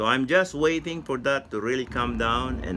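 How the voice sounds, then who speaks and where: This man speaks at a medium pitch. His intonation is lively. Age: 70s. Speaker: vlogger. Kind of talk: video diary. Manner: halting, many fillers.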